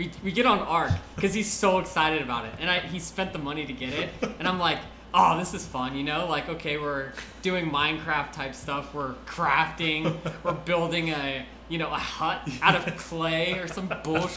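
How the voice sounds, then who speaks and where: This man speaks at a moderate pace with a fairly high pitch and ordinary pitch variation, with audible room echo and noticeable background noise. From Mexico. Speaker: intern. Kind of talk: casual chat.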